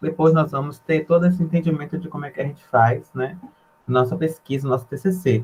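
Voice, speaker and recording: A man talks at a fairly quick pace and a fairly high pitch. His voice is somewhat breathy, with ordinary pitch variation. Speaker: university student presenter. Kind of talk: informal presentation to freshmen. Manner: quiet at first.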